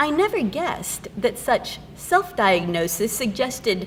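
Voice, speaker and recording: A woman speaks fairly slowly at a fairly high pitch, with noticeable background noise. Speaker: poet and English professor. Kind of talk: poetry reading.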